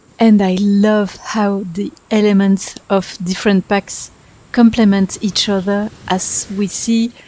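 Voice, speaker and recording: A woman speaks with a French accent at a medium pitch. Her pace is very slow. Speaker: gaming YouTuber. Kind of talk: voice-over commentary over speedbuild.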